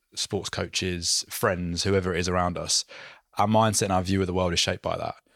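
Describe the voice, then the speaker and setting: Over a very clean recording with a silent background, a man talks at a fairly quick pace in a very deep, low pitch with monotone, flat intonation. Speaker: podcast host and performance coach. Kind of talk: interview, ad read.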